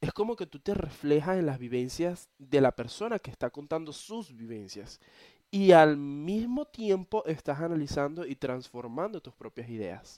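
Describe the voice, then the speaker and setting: In a dry, close sound with no echo on a very clean recording with a silent background, a man speaks in a fairly high, dark, mellow voice with very wide pitch swings and big swings in loudness. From eastern Venezuela, Cumaná. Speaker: podcaster. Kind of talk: casual monologue. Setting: bedroom, recording on laptop.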